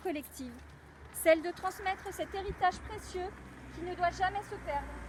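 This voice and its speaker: Loud and extremely high-pitched, a woman talks at a moderate pace with fairly even intonation against noticeable background noise. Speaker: mayor. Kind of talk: commemorative speech. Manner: formal. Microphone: no microphone.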